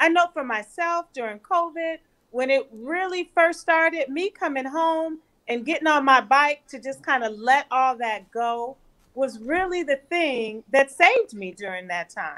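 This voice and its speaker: With an American accent and a bright, sharp tone, a woman speaks at a high pitch and a fairly slow pace, with lively intonation and big swings in loudness, against a quiet background. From California. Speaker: physician; panelist. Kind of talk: panel discussion. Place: home room. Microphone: webcam.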